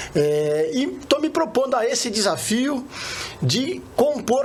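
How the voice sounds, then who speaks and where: Noticeable background noise sits behind the speaker. A man talks with very wide pitch swings. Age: 50s. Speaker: retired oil worker, union leader, candidate. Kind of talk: interview.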